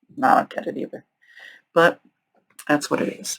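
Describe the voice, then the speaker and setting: A fairly quick pace from a woman. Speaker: true crime youtuber. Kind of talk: casual crime storytelling monologue. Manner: chatty, opinionated; halting, stuttering.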